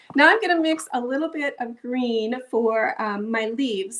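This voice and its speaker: A woman's high-pitched voice with lively intonation and a Minnesotan accent. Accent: Minnesota. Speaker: art instructor. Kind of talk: tutorial. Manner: casual, chatty.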